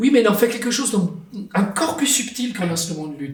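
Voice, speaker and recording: A man with an Italian accent speaks at a high pitch with lively intonation. Noticeable background noise and audible room echo fill the recording. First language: Italian (speaking French). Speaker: writer and translator. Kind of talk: interview.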